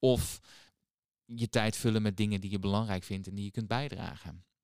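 A man's unremarkable speaking voice, moderate in pace and fairly low in pitch. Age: 30s. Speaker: psychologist and author. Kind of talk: casual interview.

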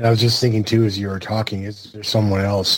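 Somewhat breathy and fairly low, a man's voice holds a monotone, flat intonation. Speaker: wrestling podcast co-host. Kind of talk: casual chat.

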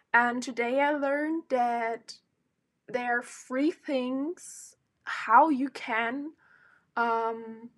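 A woman with a non-native accent speaks at a high pitch with ordinary pitch variation, recorded very cleanly against a silent background. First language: not English. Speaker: solo podcaster. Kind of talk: casual monologue. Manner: hesitant, many fillers.

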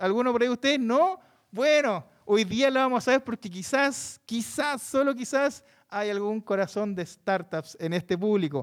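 A man's animated, high-pitched voice with a Chilean accent, on a very clean recording against a silent background. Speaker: podcast host and moderator. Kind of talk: live panel discussion with audience.

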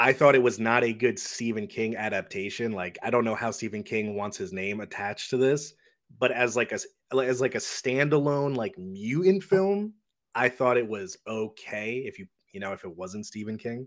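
A plain, everyday voice with lively intonation and big swings in loudness moves at a moderate pace on a very clean recording with a silent background. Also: man, medium pitch for a man. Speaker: co-host of a horror movie podcast. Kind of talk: casual podcast interview.

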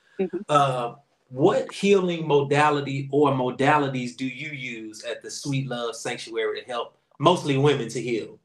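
A man with an unremarkable speaking voice talks at a moderate pace, his fairly high pitch moving with ordinary variation while his loudness swings widely. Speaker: podcast host and priest. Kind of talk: casual podcast conversation. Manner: relaxed, informal.

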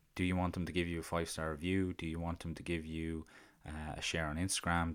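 On a very clean recording with a silent background, the speaker talks fairly quickly in a monotone, flat delivery with an Irish accent. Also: man. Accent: Irish (Carlow), fairly noticeable. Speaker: podcast host. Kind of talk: solo monologue on podcasting. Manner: hesitant, filler words.

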